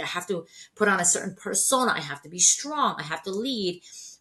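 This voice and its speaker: A woman's lively intonation carries at a fairly quick pace through noticeable background noise. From Iran/Turkey (Persian-Turkish), moved to US at 13. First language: not English (English is third language). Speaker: healthcare staffing executive. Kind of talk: podcast interview.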